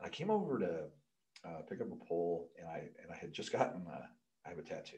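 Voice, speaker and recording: The man's speech moves at a fairly quick pace. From US Midwest. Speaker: pole vault coach and sports equipment employee; pole vault coach. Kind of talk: casual interview. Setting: studio, in person. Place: studio. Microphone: studio mic.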